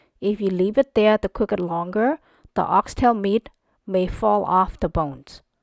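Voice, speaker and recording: A woman with a Cambodian accent speaks at a medium pitch and a fairly slow pace in a calm tone. The recording is very clean with a silent background and a dry, close sound with no echo. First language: Khmer. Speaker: cooking channel host. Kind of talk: cooking tutorial. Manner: calm, instructional.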